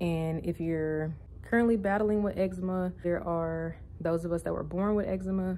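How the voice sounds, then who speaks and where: A woman whispers quietly with an American accent. She keeps a moderate pace. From US South, Louisiana. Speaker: vlogger. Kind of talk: casual vlog monologue. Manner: quiet, near whisper.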